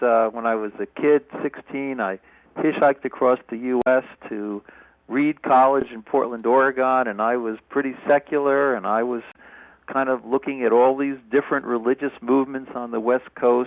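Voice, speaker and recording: A man with a normal speaking voice talks at a medium pitch and a moderate pace with fairly even intonation. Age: 60s. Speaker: professor. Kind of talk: testimony.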